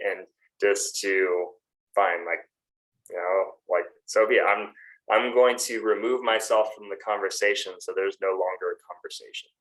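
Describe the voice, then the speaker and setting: A man talks at a moderate pace, with big swings in loudness. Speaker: fitness coach and podcast co-host. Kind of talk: casual podcast conversation. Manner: monotone, little inflection when thinking.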